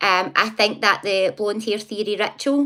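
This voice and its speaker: Against a silent background in a very clean recording, a woman with a Scottish accent speaks in a bright, sharp tone. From Scotland, near Glasgow. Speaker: psychic live streamer. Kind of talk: casual live stream chat. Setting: live stream. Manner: fast, especially when excited.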